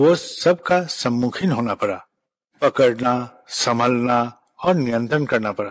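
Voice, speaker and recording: This man's voice sits at a medium pitch. Its pitch rises and falls in an ordinary way. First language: Bengali (speaking Hindi). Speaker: spiritual leader. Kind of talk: spiritual address. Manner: formal.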